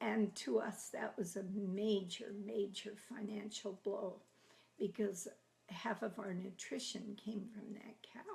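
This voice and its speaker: A woman with a medium pitch speaks at a very slow pace. Her voice is somewhat breathy, with fairly even intonation. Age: 80s+. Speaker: grandmother telling life stories. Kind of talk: oral history storytelling. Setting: at home, filmed by family.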